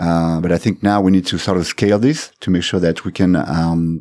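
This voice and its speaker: In a very clean recording with a silent background, a man with a very deep, low pitch and a dark, mellow tone talks at a fairly quick pace with hardly any pauses and ordinary pitch variation. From France. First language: French. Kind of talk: casual interview chat. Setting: studio.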